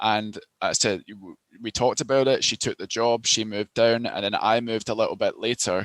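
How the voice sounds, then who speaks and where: In a Glasgow accent, a man speaks at a medium pitch and a fairly quick pace, his intonation fairly even. The sound is dry and close, with no echo. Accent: Scottish (Glasgow area). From Scotland, near Glasgow. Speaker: recruitment consultant. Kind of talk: interview. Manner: hesitant, many fillers.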